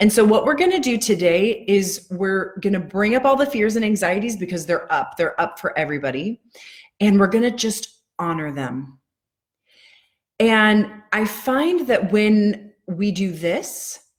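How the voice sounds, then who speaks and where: A woman's somewhat breathy voice, fairly slow in pace. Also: medium pitch for a woman, lively intonation. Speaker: EFT tapping coach. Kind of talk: live-stream guided tapping session. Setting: live video stream at home.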